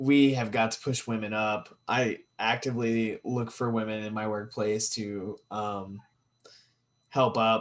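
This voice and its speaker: A man with a medium pitch speaks at a fairly slow pace in a monotone, flat intonation. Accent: American. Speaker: podcast co-host. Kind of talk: casual chat.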